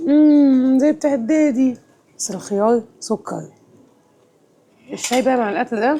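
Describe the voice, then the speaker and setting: At a fairly slow pace with long, frequent pauses, a woman speaks in a high pitch with a dark, mellow tone and ordinary pitch variation. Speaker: travel vlogger. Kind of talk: travel vlog. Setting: on location while traveling. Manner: casual, chatty.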